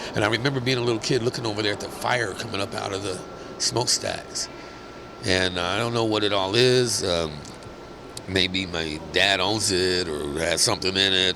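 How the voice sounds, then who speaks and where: A man speaks with an American accent at a fairly low pitch. Noticeable background noise runs under his voice. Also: ordinary pitch variation, moderate pace. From US Midwest, Kansas City. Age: 60s. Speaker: skating community founder. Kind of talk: interview life story. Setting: podcast. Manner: halting, many fillers.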